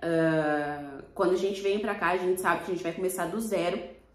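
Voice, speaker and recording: A woman speaks with a Brazilian accent at a moderate pace. Noticeable background noise and audible room echo surround her voice. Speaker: vlogger. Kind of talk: casual vlog talk to camera.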